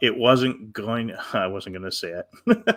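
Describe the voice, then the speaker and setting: A man talks at a very slow pace. He speaks with a Western New York accent. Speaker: co-host of spirit message show. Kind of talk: live show chat.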